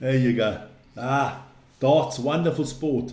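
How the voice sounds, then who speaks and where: This man has a fairly high pitch and a dark, mellow tone that is somewhat breathy. Audible room echo surrounds his voice. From South Africa, Western Cape (Plumstead), Swiss-born. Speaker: sports live stream host. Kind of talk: casual live stream chat. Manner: animated.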